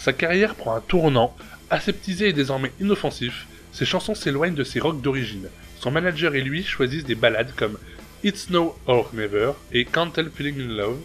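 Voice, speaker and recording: Over music in the background, a man with a fairly high pitch talks at a moderate pace with lively intonation. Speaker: YouTube host. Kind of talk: biography narration.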